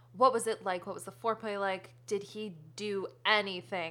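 Speaking with an American accent, a woman uses a bright, sharp tone at medium pitch and a moderate pace. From US New England, Connecticut. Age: 20s. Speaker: comedian. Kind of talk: casual chat.

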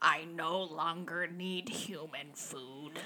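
This is a put-on character voice at a middle pitch. The delivery is very slow.

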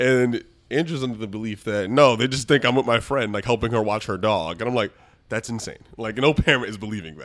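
A man with an American accent speaks at a fairly quick pace in a medium pitch with ordinary pitch variation. He has an unremarkable speaking voice. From US Northeast, the Bronx, New York City. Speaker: lawyer. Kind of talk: casual chat.

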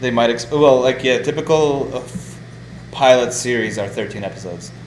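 Over noticeable background noise and audible room echo, a man talks at a medium pitch with ordinary pitch variation. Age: 20s. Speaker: podcast host. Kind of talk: casual chat. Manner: halting.

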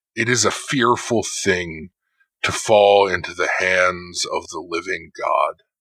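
A man puts on a raspy character voice with a fairly low pitch. He speaks at a fairly slow pace. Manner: echoing, eerie.

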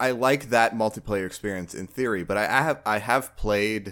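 Speaking at a fairly slow pace, a man with a plain, everyday voice and a fairly low pitch shows ordinary pitch variation in a very clean recording with a silent background. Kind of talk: casual chat about games.

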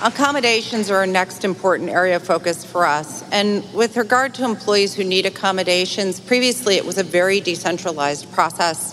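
With an American accent, a woman talks at a fairly quick pace with hardly any pauses while music plays in the background. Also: medium pitch for a woman, ordinary pitch variation. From upstate New York, near Utica. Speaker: bank managing director. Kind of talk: sponsor presentation. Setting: convention stage with audience.

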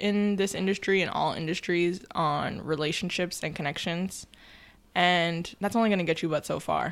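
An ordinary speaking voice with an American accent carries ordinary pitch variation. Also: woman. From New York. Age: 20s. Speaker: documentary producer. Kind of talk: casual chat.

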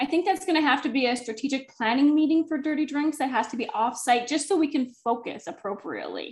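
With a slight Minnesotan accent, a woman speaks very fast at a high pitch, her intonation lively and her pauses few. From northern Minnesota. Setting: working from home, dogs nearby.

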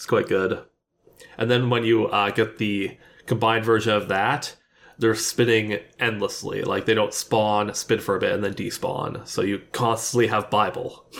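This man has an ordinary speaking voice at medium pitch, talking at a moderate pace with fairly even intonation. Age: 30s. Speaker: gaming podcast co-host. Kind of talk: casual chat.

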